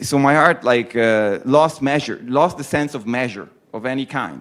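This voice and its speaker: Speaking in an Italian accent, a man goes at a very slow pace. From Italy. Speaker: poet. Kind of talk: talk to students. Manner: halting.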